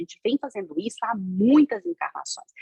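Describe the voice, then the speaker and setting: The somewhat breathy voice swings very widely in pitch, with a dry, close sound and no echo. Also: woman. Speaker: spiritist lecturer. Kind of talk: lecture. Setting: video call. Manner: fast.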